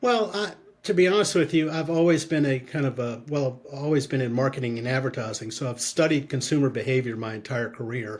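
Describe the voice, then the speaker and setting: There is noticeable background noise behind this man. His voice sits at a medium pitch. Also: ordinary pitch variation, fairly quick pace. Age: 60s. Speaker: marketing consultant and aging advocate. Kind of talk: interview conversation. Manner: halting.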